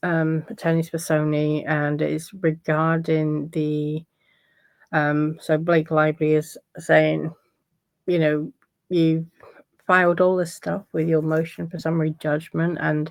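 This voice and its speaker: A woman speaks in a very deep, low voice at a fairly slow pace, her intonation monotone and flat. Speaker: legal commentator. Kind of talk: casual commentary on court filings. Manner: hesitant, many fillers.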